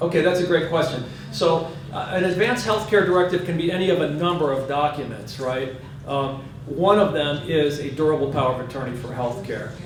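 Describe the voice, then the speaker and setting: There is audible room echo and noticeable background noise. A man talks fairly quickly at a fairly high pitch, with ordinary pitch variation. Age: 60s. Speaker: hospice doctor. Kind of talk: Q&A talk. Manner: casual, halting with fillers.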